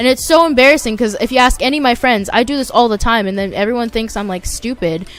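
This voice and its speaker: With music playing in the background, a woman talks at a very fast pace in a high-pitched voice. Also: ordinary pitch variation, hardly any pauses. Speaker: YouTuber, gaming commentator. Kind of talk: casual gameplay commentary. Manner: halting, with restarts and filler words.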